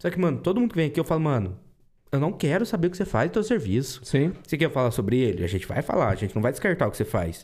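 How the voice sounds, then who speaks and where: A man with a fairly high pitch, vocal fry and very wide pitch swings talks at a very fast pace in a very clean recording with a silent background. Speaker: podcast host. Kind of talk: casual chat.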